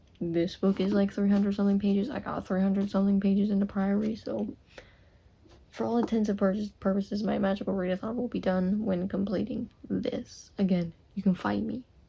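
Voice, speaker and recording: A dark, mellow, somewhat breathy voice, monotone and flat, at a fairly quick pace. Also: woman, medium pitch for a woman. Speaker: book vlogger. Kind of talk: casual vlog.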